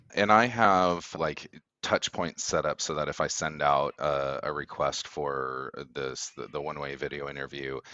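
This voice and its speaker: With vocal fry and ordinary pitch variation, the man's voice sits very deep and low. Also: moderate pace. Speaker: HR and recruiting manager. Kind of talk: casual interview chat.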